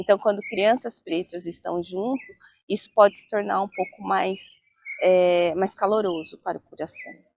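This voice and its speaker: A woman speaks in a plain, everyday voice at medium pitch, with ordinary pitch variation and a moderate pace. Her loudness swings widely, and the sound is dry and close with no echo. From Brazil, Jundiaí (São Paulo state). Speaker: interviewee in documentary. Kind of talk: documentary testimony.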